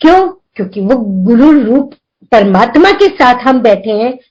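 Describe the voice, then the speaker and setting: A woman's voice with very wide pitch swings. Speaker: devotee sharing experiences. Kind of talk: spiritual testimony. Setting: video call.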